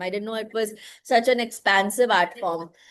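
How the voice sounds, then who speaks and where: A woman's moderate-paced speech in a non-native accent. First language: not Marathi. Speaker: podcast host. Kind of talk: interview.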